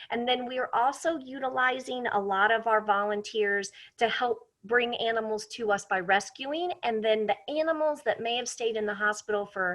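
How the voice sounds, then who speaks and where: With an unremarkable speaking voice, a woman talks at a fairly high pitch and a moderate pace. Her pitch variation is ordinary, and she leaves hardly any pauses. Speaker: wildlife center educator. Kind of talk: interview.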